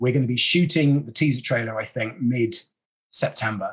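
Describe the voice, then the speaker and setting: With a British accent, a man talks at a fairly quick pace with ordinary pitch variation. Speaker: actor. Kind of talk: interview, casual chat.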